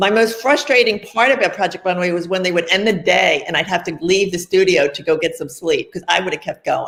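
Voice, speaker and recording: A woman's unremarkable speaking voice, an unremarkable speaking voice with an American accent, medium in pitch, fairly quick with hardly any pauses and lively intonation. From Pennsylvania, Philadelphia area. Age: 60s. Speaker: fashion designer. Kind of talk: interview.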